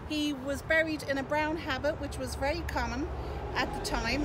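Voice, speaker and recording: Over loud background noise, a woman speaks with an Irish accent. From Ireland. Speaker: tour guide. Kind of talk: guided tour talk. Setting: outdoors. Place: open country.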